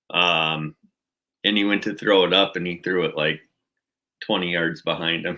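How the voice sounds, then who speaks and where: A man with an American accent and a very deep, low pitch, monotone and flat in intonation, at a moderate pace with long, frequent pauses. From Minnesota. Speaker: outdoors channel host. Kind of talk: livestream chat with viewers.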